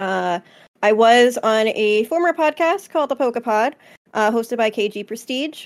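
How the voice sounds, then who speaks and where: This is a woman with a normal speaking voice, fairly high in pitch and with ordinary pitch variation. The recording is very clean, with a silent background. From New Jersey, US. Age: 20s. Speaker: podcast co-host and streamer. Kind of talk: casual chat. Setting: live stream on Twitch.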